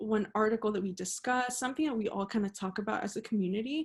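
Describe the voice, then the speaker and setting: A woman speaks at a fairly high pitch, her voice somewhat breathy. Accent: American. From Monterrey, Mexico and Laredo, Texas. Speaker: journalism student. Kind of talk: interview answer.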